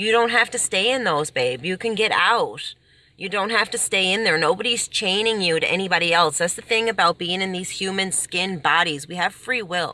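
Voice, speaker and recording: Animated and nearly without pauses, a woman at medium pitch talks at a moderate pace with ordinary pitch variation. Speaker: self-help vlogger. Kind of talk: casual advice monologue. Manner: loud. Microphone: poor quality recording, no microphone.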